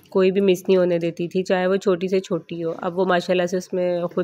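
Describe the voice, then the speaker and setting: Moving at a moderate pace, the speech carries a dark, mellow tone. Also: woman, hardly any pauses. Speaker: family vlogger. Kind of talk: casual vlog talk. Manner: halting, voice breaking.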